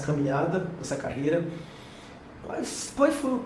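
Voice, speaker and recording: This man talks at a moderate pace. Noticeable background noise runs under his voice. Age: 50s. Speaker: podcast host. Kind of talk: podcast interview questions.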